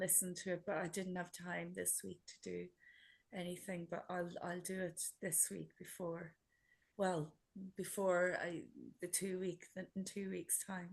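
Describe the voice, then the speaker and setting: This woman talks in a monotone, flat way at a fairly slow pace, her fairly low voice somewhat breathy. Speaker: workshop participant. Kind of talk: casual chat. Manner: halting.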